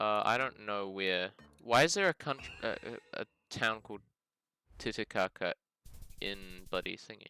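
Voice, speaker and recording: Over music in the background, a man with a New Zealand accent and a medium pitch speaks at a moderate pace with ordinary pitch variation, long, frequent pauses and big swings in loudness, the sound dry and close with no echo. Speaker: geoguessr gaming youtuber. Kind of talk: gameplay commentary. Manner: casual, thinking aloud.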